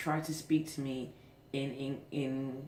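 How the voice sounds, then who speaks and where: In a British accent, a woman speaks at a very deep, low pitch and a very slow pace with monotone, flat intonation. The recording has audible room echo and noticeable background noise. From England. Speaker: vlogger. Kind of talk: casual vlog monologue. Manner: hesitant, many fillers.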